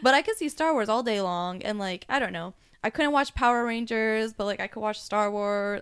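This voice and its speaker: A woman with an American accent has a normal speaking voice at fairly high pitch with ordinary variation. She talks at a moderate pace in a very clean recording with a silent background. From US, San Diego. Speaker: podcast guest, Star Wars fan. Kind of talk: casual chat. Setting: at home.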